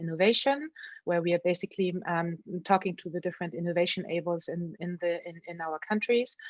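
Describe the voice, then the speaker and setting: A woman speaks at a very fast pace in a fairly low pitch, with big swings in loudness. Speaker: event host, organization representative. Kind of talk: online event presentation.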